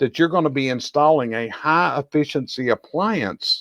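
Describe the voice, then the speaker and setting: With a Southern US accent, a man speaks at a fairly high pitch in a dry, close sound with no echo. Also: very clean recording, silent background. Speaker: chimney industry expert and show host. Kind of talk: educational discussion.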